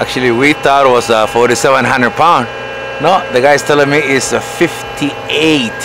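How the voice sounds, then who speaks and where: A man at a fairly slow pace, with very even loudness and fairly even intonation, dry with no echo, and clear music in the background. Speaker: truck driver. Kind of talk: vlog narration while working. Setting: outdoors at loading site and truck. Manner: halting, casual. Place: street. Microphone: phone near.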